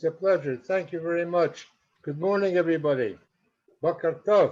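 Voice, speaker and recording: A man with a high pitch speaks at a moderate pace with ordinary pitch variation. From Canada, Montreal. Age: 80s+. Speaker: community member. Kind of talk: personal life story. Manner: halting, repeats words.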